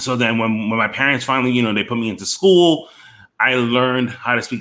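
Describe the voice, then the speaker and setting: Heard in a very clean recording with a silent background, a man with a New York accent speaks at a moderate pace in a bright, sharp tone. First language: Spanish. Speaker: podcast host. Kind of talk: casual interview chat.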